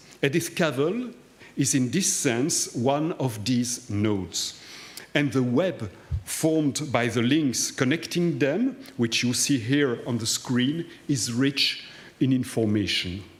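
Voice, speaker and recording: This man speaks at a very slow pace with lively intonation, and audible room echo surrounds his voice. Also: medium pitch for a man. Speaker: historian. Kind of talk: lecture. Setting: cathedral hall with audience. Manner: formal.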